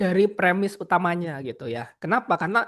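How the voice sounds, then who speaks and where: A man's high-pitched voice at a moderate pace, over a quiet background. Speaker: researcher and advocacy officer. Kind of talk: lecture presentation. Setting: online video call. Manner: hesitant with many fillers.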